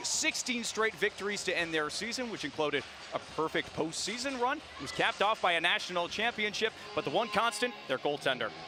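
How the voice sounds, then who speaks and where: A man with a high pitch and very wide pitch swings at a fairly quick pace, music in the background. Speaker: sports broadcaster. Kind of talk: broadcast open.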